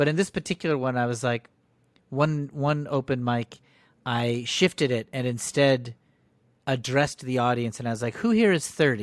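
A man speaks in a normal speaking voice with a General American accent, at a moderate pace and with ordinary pitch variation. The recording is very clean with a silent background and a dry, close sound with no echo. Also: medium pitch for a man. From US Northeast, Connecticut. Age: 50s. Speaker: comedian and improv teacher. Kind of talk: casual interview chat.

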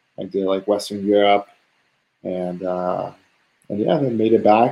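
The speaker has a Spanish accent and talks at a moderate pace with fairly even intonation. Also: man. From San Diego, California. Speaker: guest, tech worker. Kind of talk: casual interview chat. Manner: casual, filler-heavy, conversational.

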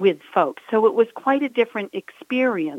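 A woman speaks in an ordinary speaking voice at a fairly high pitch. Her intonation is lively and her pace moderate. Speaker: business owner, home organizing and downsizing. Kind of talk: casual interview.

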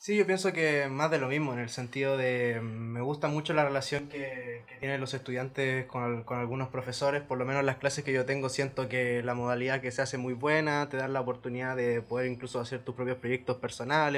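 A man speaks at a fairly quick pace with hardly any pauses, his pitch medium and his intonation flat and monotone. Noticeable background noise sits behind him. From Chile, Valparaíso. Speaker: exchange student. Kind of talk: casual chat.

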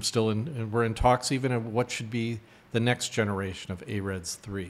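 Delivered in an unremarkable speaking voice, the speech keeps a moderate pace and fairly even intonation. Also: man. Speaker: professor and eye researcher. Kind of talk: interview.

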